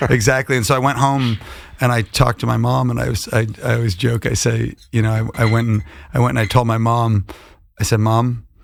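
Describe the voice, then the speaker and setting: The pace here is fairly quick. It is delivered with an American accent. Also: man, medium pitch for a man. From Buffalo, New York, US. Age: 30s. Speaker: singer-songwriter. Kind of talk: podcast interview. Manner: animated storytelling.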